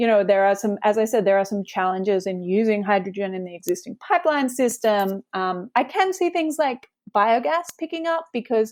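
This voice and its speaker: At a moderate pace with hardly any pauses, a woman with a slight Australian accent speaks at a fairly high pitch with very wide pitch swings. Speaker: climate law researcher. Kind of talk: interview. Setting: podcast interview.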